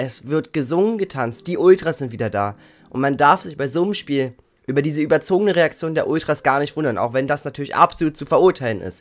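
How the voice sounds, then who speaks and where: Very fast speech from a man, the background quiet. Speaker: football YouTuber. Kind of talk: angry rant about team's failures. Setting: video channel, solo. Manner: indignant; harsh, blunt. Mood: frustrated, critical. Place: home room.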